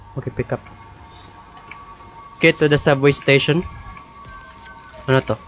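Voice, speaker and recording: A man at a moderate pace with long, frequent pauses and faint music in the background. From Philippines (Leyte). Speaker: gamer. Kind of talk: casual let's-play commentary in Taglish. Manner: upbeat. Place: home room. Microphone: studio mic.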